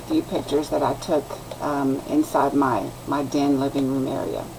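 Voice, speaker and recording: A woman speaks with a Texan accent at a moderate pace. Noticeable background noise runs underneath. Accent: Texan Southern US. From West Texas. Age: 60s. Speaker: student. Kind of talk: class introduction video. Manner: halting.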